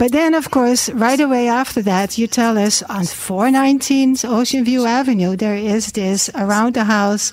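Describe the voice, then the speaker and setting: Over noticeable background noise, a woman with a fairly high pitch speaks at a fairly slow pace, her loudness very even and her pitch variation ordinary. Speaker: radio host. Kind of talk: radio interview. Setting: studio.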